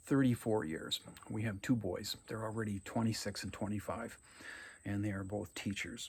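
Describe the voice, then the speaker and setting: A man with an Upper Midwest accent, fairly low-pitched and somewhat breathy, at a moderate pace with fairly even intonation. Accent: Upper Midwest American. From Minnesota, Anoka. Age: 60s. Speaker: college English teacher. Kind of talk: recorded video lecture to students. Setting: at home on his farm. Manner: casual, talkative with many fillers.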